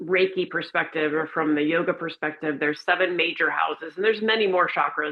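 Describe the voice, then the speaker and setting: Hardly pausing, a woman with an American accent speaks very fast at a fairly low pitch with fairly even intonation. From Florida. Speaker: empowerment and wellness coach. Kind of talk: interview conversation.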